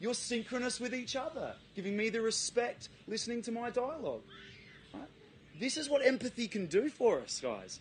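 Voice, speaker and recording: With an Australian accent, a man speaks at an extremely high pitch, a moderate pace and ordinary pitch variation. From South Australia, Adelaide. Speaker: presenter. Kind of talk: talk to a live audience.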